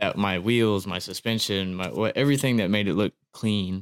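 A man with an ordinary speaking voice talks at a fairly low pitch with ordinary pitch variation, heard dry and close with no echo in a very clean recording against a silent background. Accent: American. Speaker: amateur drift driver. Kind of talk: casual chat.

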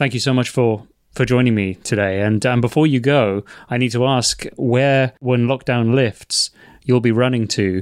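An ordinary speaking voice at a moderate pace, with very even loudness, fairly even intonation and a dry, close sound with no echo. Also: man, medium pitch for a man. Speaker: podcast host. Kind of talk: interview. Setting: video call.

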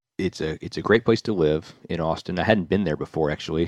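A man with a Southern US accent at a very fast pace, very deep and low in pitch, dry and close with no echo over a quiet background. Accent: American, Southern US. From US South, Nashville, Tennessee. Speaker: real estate developer. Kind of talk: interview.

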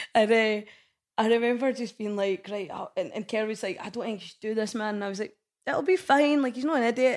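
On a very clean recording with a silent background, a woman with a Lothian accent talks at a very fast pace in a fairly high pitch, with ordinary pitch variation and big swings in loudness. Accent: Scottish (Lothian). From Scotland, Bonnyrigg, Midlothian. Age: 40s. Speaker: head of marketing for a concert promoter. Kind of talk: casual chat.

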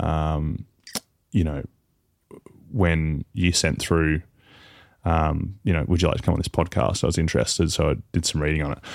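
With vocal fry and fairly even intonation, the speaker keeps a moderate pace broken by long, frequent pauses. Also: man, very deep, low pitch for a man. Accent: Australian. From Tasmania, Australia. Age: 30s. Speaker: professional footballer. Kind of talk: casual chat.

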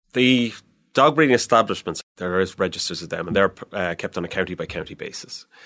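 Very fast and with lively intonation, a man speaks at a fairly low pitch in a bright, sharp tone, with big swings in loudness. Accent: Irish. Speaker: animal welfare inspector. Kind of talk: interview. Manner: hesitant, repeats words.

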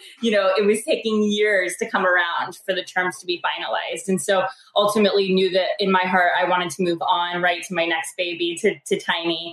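Noticeable background noise sits under a woman's voice. She talks at a fairly quick pace with hardly any pauses and monotone, flat intonation. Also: medium pitch for a woman. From rural US. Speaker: startup co-founder. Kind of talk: interview.

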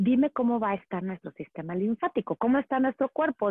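Moving through very wide pitch swings, a woman speaks at a moderate pace in a fairly high voice. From Mexico, Monterrey. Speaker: urban gardening and plant expert. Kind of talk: interview.

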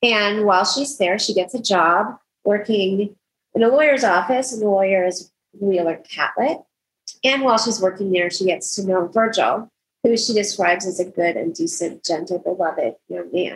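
Speaking with ordinary pitch variation, a woman uses a plain, everyday voice. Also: medium pitch for a woman, moderate pace. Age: 60s. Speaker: podcast co-host, homeschool mom. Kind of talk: casual book discussion.

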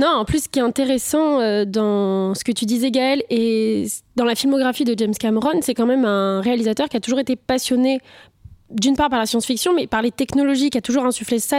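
A woman's high-pitched voice, fairly quick in pace, with ordinary pitch variation and very even loudness. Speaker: film critic panelist.

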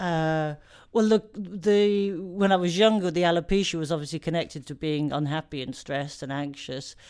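The recording is very clean, with a silent background. A woman with an English accent and a fairly low pitch speaks at a moderate pace with ordinary pitch variation. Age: 40s. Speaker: comedian. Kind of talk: interview. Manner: halting.

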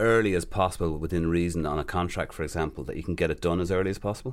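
Here is a man with an Irish accent. His voice is very deep and low, and his intonation is fairly even. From Ireland. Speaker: player agent. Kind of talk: interview.

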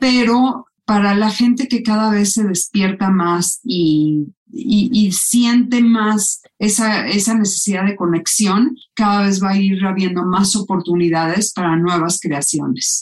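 Somewhat breathy speech moves at a very slow pace with very even loudness, ordinary pitch variation and hardly any pauses. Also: woman, medium pitch for a woman. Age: 50s. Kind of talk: interview.

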